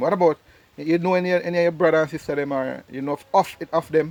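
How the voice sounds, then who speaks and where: Someone talks at a very fast pace with a Jamaican accent. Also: man. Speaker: travel vlogger. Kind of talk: family interview.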